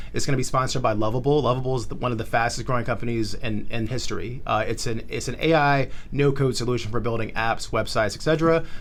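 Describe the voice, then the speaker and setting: Very fast and with hardly any pauses, a man at a medium pitch speaks with audible room echo. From South Florida, originally Charlotte. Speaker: tech startup founder and community organizer. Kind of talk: podcast interview. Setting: co-working space studio. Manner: animated.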